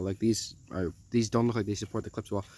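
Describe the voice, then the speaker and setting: A man speaks at a very fast pace, his pitch medium. The tone is dark and mellow, with ordinary pitch variation. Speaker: hubcap collector. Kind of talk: casual review to camera. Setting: outdoors, windy. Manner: casual, hesitant with many fillers.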